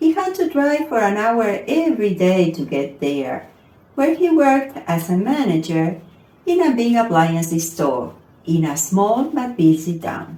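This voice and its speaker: In a room with audible echo, a woman speaks fairly slowly in a somewhat breathy, dark, mellow voice of medium pitch with very wide pitch swings. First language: not English. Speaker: storyteller. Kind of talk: reading aloud.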